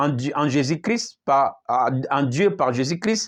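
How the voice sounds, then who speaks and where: A man talks at a very slow pace, his pitch swinging very widely. The recording is very clean, with a silent background. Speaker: apostle preacher. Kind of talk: sermon.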